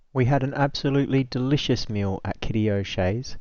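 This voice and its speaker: A man speaks with an Australian accent at a medium pitch. His delivery is fairly slow, with fairly even intonation. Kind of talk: travel narration.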